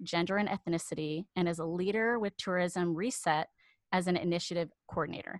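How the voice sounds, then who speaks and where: A woman with an unremarkable speaking voice talks at a fairly quick pace in a fairly low pitch and fairly even intonation, recorded dry and close with no echo against a quiet background. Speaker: podcast host. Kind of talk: casual interview chat.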